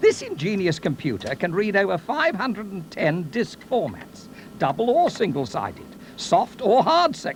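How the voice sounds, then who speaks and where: At a moderate pace and with very wide pitch swings, the voice comes through noticeable background noise. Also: man. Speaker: voice-over artist. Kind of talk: corporate promotional narration. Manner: wry, humorous storytelling.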